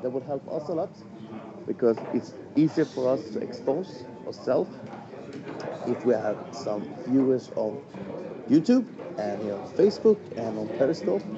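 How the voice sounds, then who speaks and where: A man with a Swedish accent at a moderate pace, fairly high-pitched, with very wide pitch swings, long, frequent pauses and noticeable background noise. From Sweden. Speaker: darts stream commentator. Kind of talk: live stream commentary chat.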